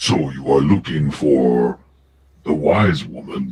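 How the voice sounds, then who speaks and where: Growling in a put-on character voice, a man speaks at a very slow pace with a very deep, low pitch. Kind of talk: orc voice. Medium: actual play. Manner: broken grammar, blunt.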